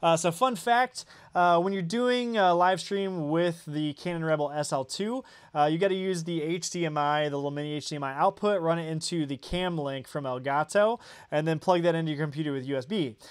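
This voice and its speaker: On a very clean recording with a silent background, a man with a high pitch and an American accent talks at a fairly quick pace with ordinary pitch variation. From Indiana. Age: 30s. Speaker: tech YouTuber. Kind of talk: livestream chat. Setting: home studio livestream. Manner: casual, many fillers.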